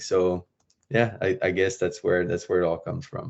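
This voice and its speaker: A man is speaking. He has a French accent. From France. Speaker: professional hockey player. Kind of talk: podcast interview.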